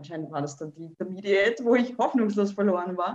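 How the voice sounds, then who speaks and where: Very fast talking from a woman, medium in pitch. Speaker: dancer and dance teacher. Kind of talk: casual interview.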